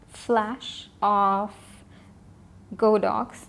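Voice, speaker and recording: A woman's fairly high voice, calm in tone, at a very slow pace. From South Asia. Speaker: photographer. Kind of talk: casual talk to camera. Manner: slow, calm.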